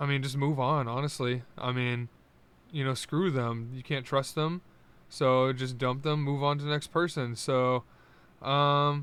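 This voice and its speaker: At a fairly slow pace, a man talks in a fairly high pitch with monotone, flat intonation, the sound dry with no echo. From US East Coast. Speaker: YouTuber; quiz streamer. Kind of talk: casual chat. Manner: hesitant, many fillers. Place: home room. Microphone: new studio dynamic mic; studio mic.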